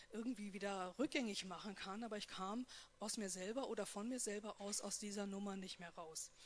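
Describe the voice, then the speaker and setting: A woman speaks in a normal speaking voice at a fairly high pitch. Her pitch variation is ordinary and her pace moderate. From North Rhine-Westphalia. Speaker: post-abortion support worker. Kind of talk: personal testimony and talk.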